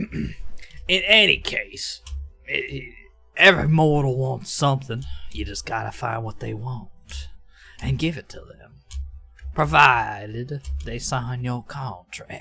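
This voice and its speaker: A man uses a put-on character voice at a medium pitch, going at a fairly slow pace with long, frequent pauses. Faint music plays in the background. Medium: actual play. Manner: casual.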